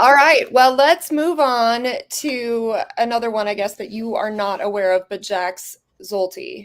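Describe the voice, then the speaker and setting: An unremarkable speaking voice belongs to a woman with an American accent. She talks at a fairly slow pace and a fairly high pitch, with lively intonation. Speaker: fragrance reviewer. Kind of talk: casual livestream chat.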